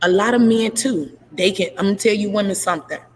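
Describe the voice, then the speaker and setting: Over noticeable background noise, a woman talks at a very fast pace in an animated tone, her medium pitch showing ordinary variation. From Chicago, Illinois. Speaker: podcast host. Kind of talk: casual chat. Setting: at work, live stream.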